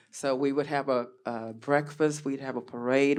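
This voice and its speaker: A woman with a Texas accent talks in a monotone, flat intonation at a very deep, low pitch. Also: quiet background. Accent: Southern US, Texas. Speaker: panelist, former cheerleader. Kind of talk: panel discussion, personal reminiscence.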